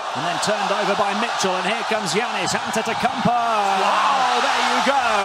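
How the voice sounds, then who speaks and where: An animated, excited man at a fairly quick pace over noticeable background noise. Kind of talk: live sports commentary. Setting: broadcast commentary of a basketball game. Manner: animated, fast play-by-play delivery with excited exclamations; analytical co-commentator giving tactical explanations.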